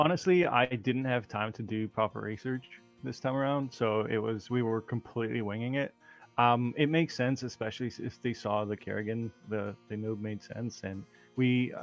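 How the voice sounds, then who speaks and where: A man talks at a moderate pace with a medium pitch and ordinary pitch variation. Music plays in the background. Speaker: esports player being interviewed. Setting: online voice chat lobby. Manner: low volume, needed turning up.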